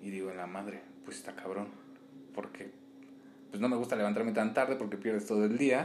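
A man's voice at a fairly quick pace with long, frequent pauses, ordinary pitch variation and big swings in loudness, amid noticeable background noise and audible room echo. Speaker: podcast co-host. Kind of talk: casual chat.

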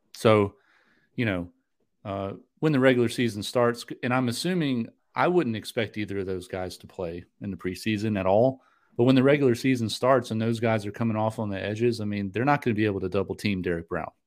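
A man speaks in a normal speaking voice with an American accent, at a fairly quick pace. The recording is very clean, with a silent background. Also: fairly low pitch for a man, ordinary pitch variation. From North Carolina. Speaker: sports podcast host. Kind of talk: casual chat.

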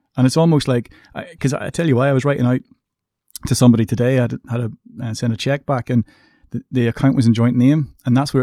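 A man with a Northern Irish accent and a dark, mellow tone speaks at a very fast pace but leaves long, frequent pauses. His intonation is fairly even, and the sound is dry and close with no echo. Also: very clean recording, silent background. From Northern Ireland, Coleraine. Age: 30s. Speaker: podcast host, bank worker. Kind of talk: casual chat.

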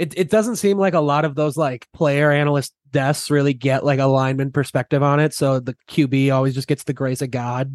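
A man talks at a fairly quick pace with hardly any pauses, in a fairly high pitch and fairly even intonation. It is an ordinary speaking voice, with a dry, close sound, no echo and a quiet background. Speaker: podcast host. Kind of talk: casual sports podcast chat.

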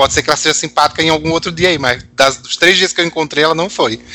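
There is noticeable background noise as a man speaks very fast, his fairly high voice showing ordinary pitch variation. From Natal, northeastern Brazil. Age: 30s. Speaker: pop music fan guest. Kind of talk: casual chat.

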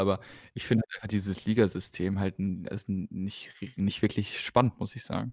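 At a moderate pace, a man with a fairly low pitch speaks in a very clean recording with a silent background and a dry, close sound with no echo. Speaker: darts podcast co-host. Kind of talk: casual chat.

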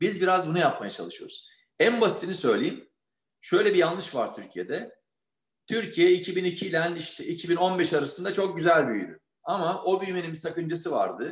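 Pitched high for a man, his voice moves at a moderate pace with ordinary pitch variation. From Turkey, Istanbul. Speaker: economist. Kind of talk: interview.

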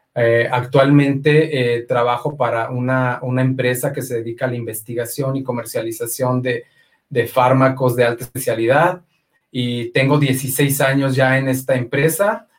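A man speaks at a fairly slow pace, his medium-pitched voice somewhat breathy with fairly even intonation. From Mexico, Aguascalientes. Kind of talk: testimony.

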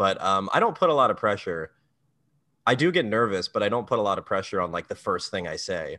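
A man with an American accent talks at a fairly quick pace. The background is quiet. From US, Maryland. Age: 20s. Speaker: comedian. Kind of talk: casual chat.

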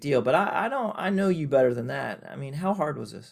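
Heard in a very clean recording with a silent background, a man with an ordinary speaking voice talks at a fairly quick pace with lively intonation. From Oklahoma. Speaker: podcast host, pediatric infectious disease physician. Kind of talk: casual interview.

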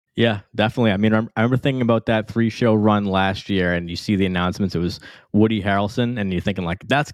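A very fast pace with fairly even intonation. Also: man. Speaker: podcast host. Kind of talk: casual chat.

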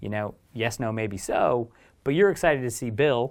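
A man with an American accent talks at a moderate pace and medium pitch. His pitch varies in an ordinary way, and the recording is very clean with a silent background. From US, Oregon. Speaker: podcast host and photographer. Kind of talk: casual interview.

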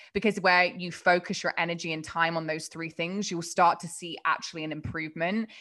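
A woman with an English accent speaks at a fairly quick pace in a fairly low, bright, sharp voice, on a very clean recording with a silent background. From England. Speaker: productivity coach. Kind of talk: casual interview.

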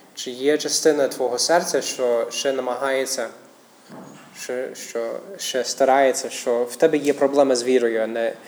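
A man with a medium-pitched voice keeps his intonation fairly even while noticeable background noise carries on. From United States. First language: English (speaking Ukrainian). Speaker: missionary pastor. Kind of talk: sermon. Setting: church. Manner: halting.

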